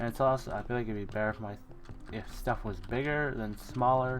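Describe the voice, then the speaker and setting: Someone talks at a moderate pace with music in the background. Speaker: gaming streamer. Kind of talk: casual gameplay commentary. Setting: live stream. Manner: talkative, thinking aloud with fillers; occasional stutters and self-corrections.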